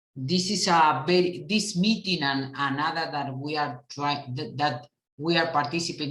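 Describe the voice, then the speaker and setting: Audible room echo surrounds a woman speaking with a Uruguayan accent and ordinary pitch variation. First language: Spanish. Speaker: international cooperation official. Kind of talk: conference talk. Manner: halting; calm and moderate.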